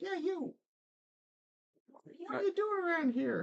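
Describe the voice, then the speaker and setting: A put-on character voice comes out squeaky and at an extremely high pitch. It moves at a fairly slow pace. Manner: curious, challenging.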